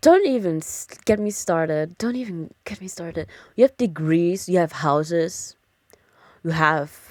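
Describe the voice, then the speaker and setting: At a very slow pace, a woman with a slight German accent speaks in a fairly low pitch. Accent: light German. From Germany. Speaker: streamer. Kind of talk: casual chat. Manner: hesitant, many fillers.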